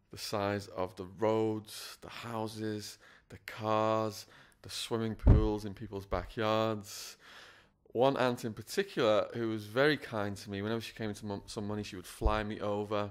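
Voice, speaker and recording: With an English accent, a man speaks in a fairly low, monotone voice with flat intonation and big swings in loudness. The recording is very clean, the background silent. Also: moderate pace. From northwest England (Widnes). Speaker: former prisoner, school speaker. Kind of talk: interview, personal testimony.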